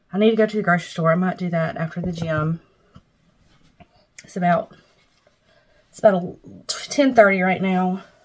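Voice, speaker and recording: Somewhat breathy, a woman talks with ordinary pitch variation, big swings in loudness, and long, frequent pauses. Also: moderate pace. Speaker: weight loss vlogger; vlogger. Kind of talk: casual vlog. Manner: hesitant, filler-heavy. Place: home room. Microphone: phone near.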